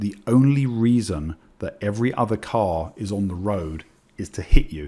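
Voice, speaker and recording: A man with an English accent talks in a fairly low voice with lively intonation. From England. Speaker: trading educator. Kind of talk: webinar presentation. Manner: fast; hesitant with fillers.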